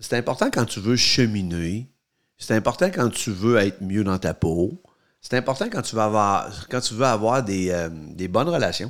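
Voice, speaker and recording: With a Quebec accent, a man speaks at a fairly slow pace in a fairly low voice with lively intonation, recorded very cleanly against a silent background. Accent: Québécois French. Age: 50s. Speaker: podcast co-host, father. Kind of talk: casual chat.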